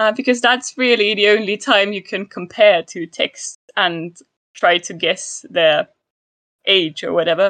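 Speaking at a moderate pace, a woman with a fairly high pitch and ordinary pitch variation comes through in a dry, close sound with no echo. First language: German. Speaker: historical linguistics researcher. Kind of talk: casual chat.

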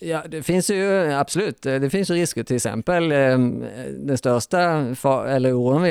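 On a very clean recording with a silent background, a man with an ordinary speaking voice talks at a fairly slow pace with lively intonation. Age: 40s. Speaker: animal rights activist. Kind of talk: panel discussion. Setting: hotel recording venue.

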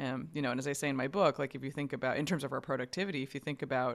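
In an American accent, a woman talks at a very fast pace in a very deep, low voice with fairly even intonation. The recording is very clean, with a silent background. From New York. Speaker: science journalist and author. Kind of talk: casual interview.

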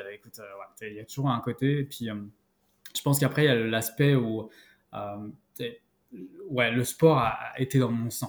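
Pausing long and often, a man of medium pitch speaks at a fairly slow pace with fairly even intonation and big swings in loudness. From France, Paris region (Val d'Oise). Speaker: outdoor gear marketing specialist. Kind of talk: interview. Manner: halting, many repetitions.

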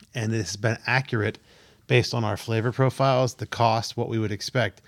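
A man talks at a fairly quick pace with a medium pitch and a normal speaking voice. His intonation is fairly even, and the recording is very clean with a silent background. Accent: American. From Pennsylvania. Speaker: podcast host. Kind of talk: casual chat.

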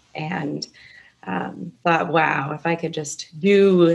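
A woman speaks at a very slow pace with a very deep, low pitch. Vocal fry runs through her voice. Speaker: former children's ministry director. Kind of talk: interview. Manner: quiet.

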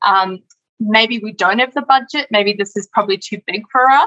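This woman has an unremarkable speaking voice at a medium pitch, with ordinary pitch variation. The sound is dry and close, with no echo. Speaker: webinar moderator. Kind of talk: moderating Q&A. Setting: online webinar.

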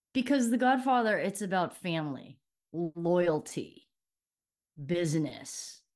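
Lively intonation at a fairly slow pace in a Californian accent, against a quiet background. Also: woman. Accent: Californian American. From Los Angeles, Southern California. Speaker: former prosecutor and athlete. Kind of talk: interview.

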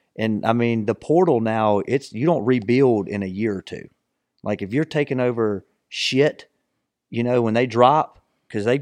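A man with a plain, everyday voice speaks at a medium pitch and moderate pace, the sound dry and close with no echo against a quiet background. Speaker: podcast host. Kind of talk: casual sports chat. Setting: studio.

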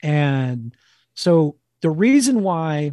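A man speaks with an American accent and a dark, mellow tone. His pitch varies in an ordinary way. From New Jersey, near New York. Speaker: wild food cookbook author and former chef. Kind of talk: casual interview.

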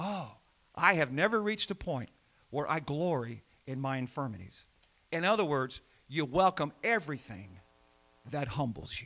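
In a very clean recording with a silent background, a man with a fairly high pitch and a bright, sharp tone swings his pitch very widely, moving at a moderate pace with long, frequent pauses. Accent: American. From Indiana. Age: 70s. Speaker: pastor. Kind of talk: sermon. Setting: church.

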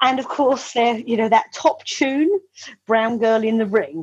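With a southern English accent, a woman speaks at a fairly high pitch. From Kent, England (Medway). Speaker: property and image consultant. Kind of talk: storytelling; interview. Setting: video call.

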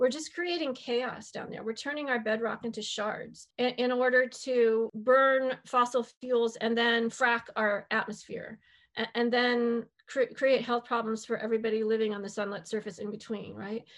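Over a quiet background, a woman with an American accent talks in a plain, everyday voice, fairly high in pitch, at a moderate pace with fairly even intonation and hardly any pauses. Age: 60s. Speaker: biologist and author. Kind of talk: interview.

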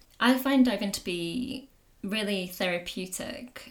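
A woman with a northern English accent talks with vocal fry. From northern England, Pennines. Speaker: wildlife artist and dive instructor. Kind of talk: casual chat.

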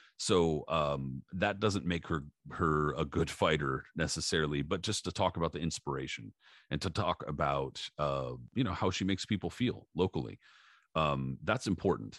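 Against a quiet background, a man with a very deep, low pitch and vocal fry speaks at a moderate pace with ordinary pitch variation, the sound dry and close with no echo. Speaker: boxing podcast host. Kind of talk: casual chat. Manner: casual, filler-heavy, uses slang like dude and bro.

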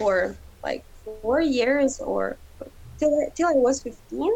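A woman with a Ukrainian accent speaks in a dark, mellow tone. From Ukraine. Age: young. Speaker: interviewee. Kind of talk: interview. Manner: halting.

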